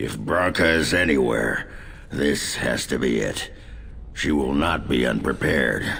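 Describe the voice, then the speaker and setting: A man puts on a character voice with a very deep, low pitch. He keeps a moderate pace against clear background noise. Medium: video game. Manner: gruff, blunt.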